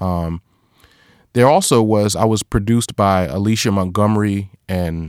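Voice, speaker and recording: Here a man has an ordinary speaking voice at a fairly low pitch. The recording is very clean, with a silent background. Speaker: podcaster and professor. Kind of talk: interview about his craft.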